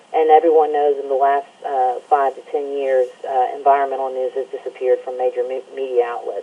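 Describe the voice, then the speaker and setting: This woman speaks in an Alabama accent. Her pace is fairly quick. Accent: Southern US (Alabama). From Alabama, US South. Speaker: environmental news site editor and radio show host. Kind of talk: interview.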